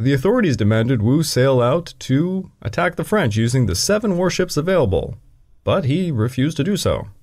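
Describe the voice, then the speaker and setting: A man speaks at a fairly quick pace in a somewhat breathy, medium-pitched voice with very wide pitch swings. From Canada. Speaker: history podcast host. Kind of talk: scripted narration.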